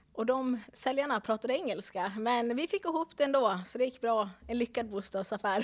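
Hardly pausing, a woman speaks at a moderate pace in an ordinary speaking voice, fairly high in pitch with ordinary pitch variation. The sound is dry and close, with no echo. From Dalarna, Sweden. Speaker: real estate agent. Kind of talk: casual chat.

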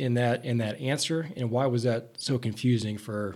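A man talks in a normal speaking voice at medium pitch and a moderate pace. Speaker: podcast host. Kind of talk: casual interview.

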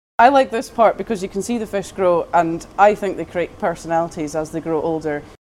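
The speaker has a Scottish accent and ordinary pitch variation. The pace is fairly quick, with hardly any pauses. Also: woman, fairly low pitch for a woman. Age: 20s. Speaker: fish farm worker. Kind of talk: interview. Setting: outdoors.

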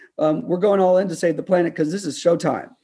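A man speaks at a very fast pace in a high, dark, mellow voice against a quiet background. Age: 50s. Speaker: climate policy advocate. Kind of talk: radio interview. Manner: animated.

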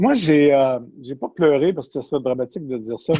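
The voice has a dark, mellow tone in a Quebec accent, moving at a fairly quick pace with ordinary pitch variation. The sound is dry and close, with no echo. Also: man. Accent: Québécois French. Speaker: journalist. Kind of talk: interview.

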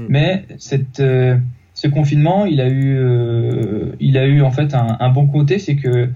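A very slow, somewhat breathy male voice, fairly high in pitch, with ordinary pitch variation. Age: 30s. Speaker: youth football coach. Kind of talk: interview. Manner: halting, many repetitions.

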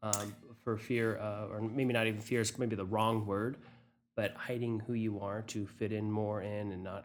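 Speaking at a moderate pace, a man delivers his words in a monotone, flat intonation at a fairly low pitch. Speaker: podcast host. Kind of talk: casual interview.

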